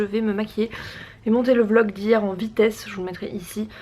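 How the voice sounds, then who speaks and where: A woman speaks at a moderate pace with a fairly high pitch. Noticeable background noise can be heard. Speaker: vlogger. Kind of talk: casual vlog chat. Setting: in a car.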